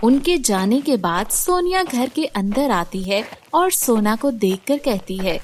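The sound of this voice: A woman's fairly high voice, lively in intonation, at a fairly slow pace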